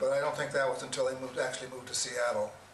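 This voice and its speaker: Through noticeable background noise and audible room echo, a man with an American accent speaks in a medium pitch with fairly even intonation. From Washington State, USA. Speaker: elderly storyteller. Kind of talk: oral history interview. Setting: small room with audience. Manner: halting.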